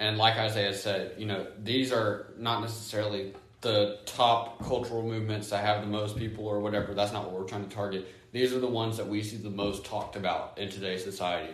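Against noticeable background noise, a man speaks fairly quickly in a monotone, flat delivery at a fairly low pitch. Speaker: podcast co-host, Bible college student. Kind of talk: casual faith discussion podcast.

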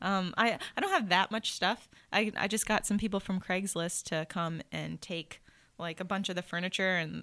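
A woman's bright, sharp voice at medium pitch, with vocal fry, fairly even intonation and a moderate pace. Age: 20s. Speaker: podcast co-host and comedian. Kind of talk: casual chat. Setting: studio.

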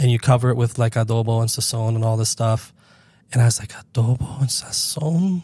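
A man with an American accent speaks at a medium pitch and a fairly quick pace. His tone is dark, mellow and somewhat breathy, with ordinary pitch variation. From Florida, Fort Lauderdale. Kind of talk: casual chat.

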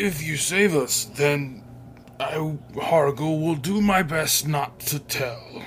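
A man's put-on character voice, raspy and fairly high, at a very slow pace over clear background noise. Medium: actual play.

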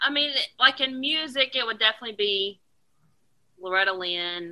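In a Southern US accent, a woman with a bright, sharp tone speaks at a moderate pace. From North Carolina. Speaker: country singer. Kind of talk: casual chat.

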